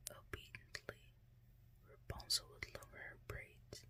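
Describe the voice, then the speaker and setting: A woman whispering at a very slow pace. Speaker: ASMR storyteller. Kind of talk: fairytale bedtime story reading. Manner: whispered.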